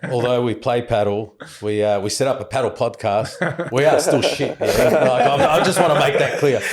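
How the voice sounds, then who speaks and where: A man with an Australian accent talks at a moderate pace with hardly any pauses, against noticeable background noise. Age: 40s. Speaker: podcast co-host. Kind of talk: casual chat.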